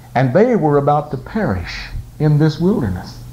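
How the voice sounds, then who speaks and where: Against noticeable background noise, a man speaks at a moderate pace in a warm tone. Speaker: pastor and gospel singer. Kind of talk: Sunday morning sermon retelling a Bible story. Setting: church service with congregation. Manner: dramatic storyteller, voicing kings' dialogue in a vivid narrative; folksy and warm, joking with the congregation.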